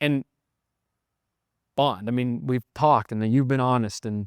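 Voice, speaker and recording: A man with medium pitch and ordinary pitch variation speaks at a fairly slow pace with long, frequent pauses, his sound dry and close with no echo. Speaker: podcast host and recovery coach. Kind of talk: casual chat. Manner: loud.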